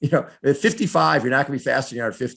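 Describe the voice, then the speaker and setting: A man with vocal fry is heard against a silent background on a very clean recording. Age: 70s. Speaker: triathlete and triathlon media figure. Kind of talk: interview answer.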